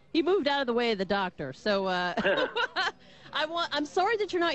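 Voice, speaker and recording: With noticeable background noise behind her, a woman speaks in a high voice with very wide pitch swings. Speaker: radio host. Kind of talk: radio talk show hosting.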